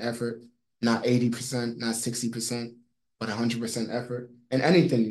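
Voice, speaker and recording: A fairly slow, monotone, flat delivery with an American accent. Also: man. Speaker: fitness trainer. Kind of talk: casual interview.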